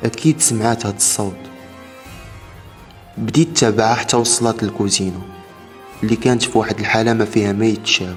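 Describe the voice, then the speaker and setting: With music in the background, a man speaks at a moderate pace, taking long, frequent pauses. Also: medium pitch for a man, ordinary pitch variation. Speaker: horror story narrator. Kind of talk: horror story narration.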